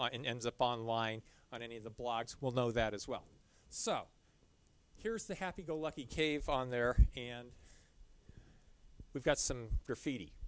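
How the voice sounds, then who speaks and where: At a moderate pace, a man talks with ordinary pitch variation and long, frequent pauses, the sound dry with no echo. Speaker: presenter. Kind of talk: lecture. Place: hall.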